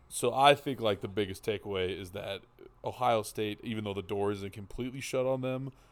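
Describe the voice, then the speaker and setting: Speaking at a very fast pace, a man keeps a fairly low pitch with ordinary pitch variation. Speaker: podcast co-host, guest. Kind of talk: casual sports banter. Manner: casual, talkative, joking.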